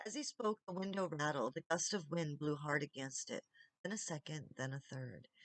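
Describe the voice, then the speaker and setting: A woman's normal speaking voice with lively intonation at a moderate pace, dry and close with no echo. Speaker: audiobook reader. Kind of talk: audiobook reading.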